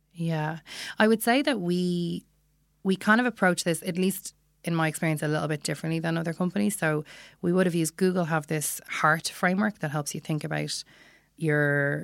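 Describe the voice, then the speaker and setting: A woman with a Dublin accent speaks at a fairly quick pace in a very deep, low pitch. Her pitch varies in an ordinary way, and the sound is dry and close with no echo. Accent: Irish (Dublin). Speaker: product analytics manager. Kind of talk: interview. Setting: studio.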